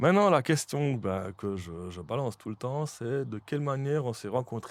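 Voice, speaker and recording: A man speaks in a Jura Swiss accent at a moderate pace. His medium pitch moves in very wide swings. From Switzerland, Jura. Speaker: podcast host. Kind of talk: casual interview chat. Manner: hesitant, many fillers.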